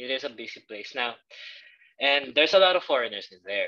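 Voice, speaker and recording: A man with a Filipino accent at a moderate pace. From Philippines. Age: 20s. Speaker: assistant language teacher. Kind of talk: interview. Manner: hesitant, many fillers.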